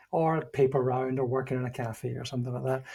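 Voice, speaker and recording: In a Scottish accent, a man speaks with a dark, mellow tone. His voice is somewhat breathy. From Scotland. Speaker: leadership consultant, former CEO. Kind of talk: interview.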